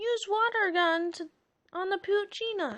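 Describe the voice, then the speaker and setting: A woman's squeaky, put-on character voice, extremely high and raised and projected, at a moderate pace. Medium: read story.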